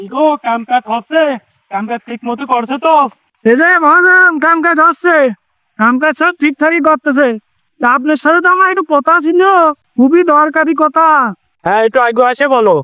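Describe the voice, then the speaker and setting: In a put-on character voice with an extremely high pitch, a man speaks at a moderate pace. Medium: comedy sketch. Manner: loud, sing-song calling.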